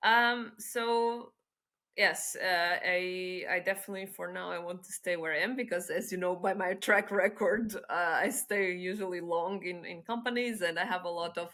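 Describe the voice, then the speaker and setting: A woman with a bright, sharp tone, medium pitch, fairly even intonation and a moderate pace. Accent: Portuguese. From Portugal. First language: Portuguese. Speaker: head of business development. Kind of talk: podcast interview.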